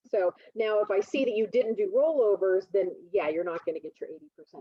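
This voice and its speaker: Fairly quick pace and ordinary pitch variation from a woman at a medium pitch. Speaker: college instructor. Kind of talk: lecture. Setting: video call. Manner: fast.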